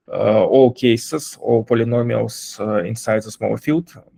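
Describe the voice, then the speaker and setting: This man has a non-native accent. His voice sounds dry and close, without any echo. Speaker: blockchain developer giving a lecture. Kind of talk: lecture. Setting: online session. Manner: halting, many fillers.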